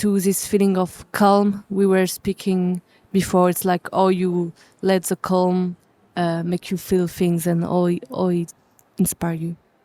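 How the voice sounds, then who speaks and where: A woman with a French accent speaks fairly slowly at medium pitch, in a dark, mellow tone with fairly even intonation. The sound is dry and close with no echo, on a very clean recording with a silent background. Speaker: jazz musician. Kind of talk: interview. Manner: halting.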